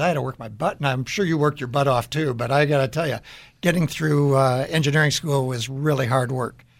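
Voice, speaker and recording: A man with an American accent speaks in a normal speaking voice, fairly high in pitch, at a fairly quick pace with fairly even intonation. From Chicago area, Illinois. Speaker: business CEO, radio co-host. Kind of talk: casual panel chat. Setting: studio.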